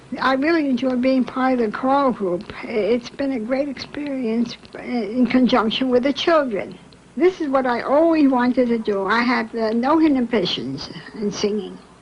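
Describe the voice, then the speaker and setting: The speech moves at a moderate pace with ordinary pitch variation and noticeable background noise. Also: woman, high pitch for a woman. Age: old. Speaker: senior choir member. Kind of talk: documentary interview.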